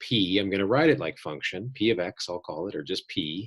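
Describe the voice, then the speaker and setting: Against a silent background in a very clean recording, a man speaks at a fairly quick pace with a very deep, low pitch. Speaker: math professor. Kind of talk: lecture. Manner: fast.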